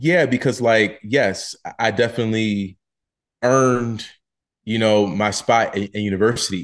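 A man at a fairly slow pace, medium pitch, ordinary pitch variation, long and frequent pauses, against a quiet background. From US Northeast, Philadelphia. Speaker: playwright. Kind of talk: interview. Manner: halting, many fillers and repeats.

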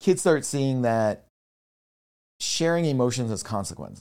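Lively intonation runs through this man's speech. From rural Pennsylvania. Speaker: mental health educator. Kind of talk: interview conversation. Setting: in-person at host's home.

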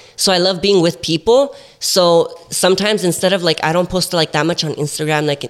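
Against noticeable background noise, a man with an American accent speaks at a fairly quick pace in a high pitch with ordinary pitch variation. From Central Valley, California. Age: 20s. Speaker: TikTok content creator. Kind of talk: casual chat, podcast interview. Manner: casual, playful.

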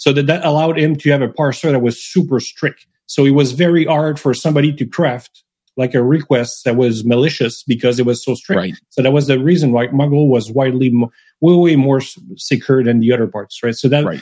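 A man with a Quebec accent speaks at a fairly quick pace in a fairly high pitch. His tone is dark and mellow, with ordinary pitch variation. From Quebec, Montreal. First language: French. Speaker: software developer. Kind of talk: casual technical interview.

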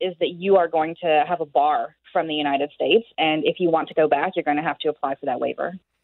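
Here is a woman with a plain, everyday voice. Her pitch sits fairly low. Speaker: border law expert. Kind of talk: radio interview.

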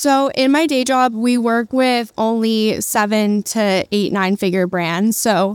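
A woman with a medium pitch sounds nervous. Her pitch varies in an ordinary way, and the sound is dry and close with no echo. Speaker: newsletter creator and marketing executive. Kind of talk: live conversational interview. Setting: stage with audience, live at conference. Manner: nervous at first, casual.

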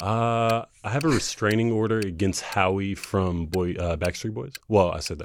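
In an ordinary speaking voice, a man with an American accent talks with hardly any pauses, fairly low in pitch, with ordinary pitch variation and big swings in loudness. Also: moderate pace. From North Carolina, Jacksonville. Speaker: dating show contestant. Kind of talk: casual chat.

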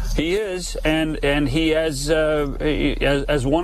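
This man has a fairly high pitch and a Canadian accent, with fairly even intonation. Noticeable background noise and audible room echo surround his voice. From Western Canada, BC Okanagan. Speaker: hockey insider. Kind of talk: radio interview.

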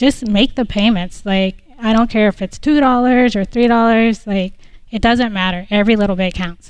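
Pitched fairly high, a woman talks in a normal speaking voice whose pitch varies in an ordinary way. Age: 40s. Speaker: realtor and Air Force reservist. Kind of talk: live call-in show interview. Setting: live stage in studio lobby.

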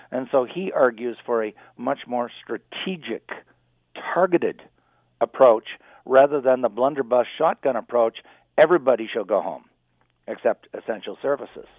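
A man's medium-pitched voice at a moderate pace, with ordinary pitch variation and long, frequent pauses. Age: 60s. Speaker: business school professor. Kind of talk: radio interview.

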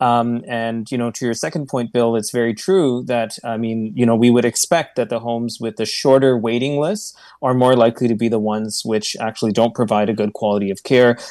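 This man has an unremarkable speaking voice, medium in pitch, with fairly even intonation. He moves at a fairly quick pace with hardly any pauses, on a very clean recording with a silent background. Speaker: doctor working in hospitals and long term care. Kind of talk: radio interview.

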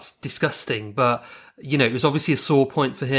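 The intonation stays fairly even during this plain reading aloud.

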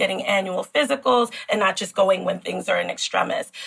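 A woman talks with an American accent. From New York City, the Bronx. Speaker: gynecologist. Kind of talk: interview.

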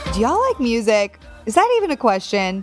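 A woman speaks in a warm, enthusiastic tone. Music plays in the background. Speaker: podcast host.

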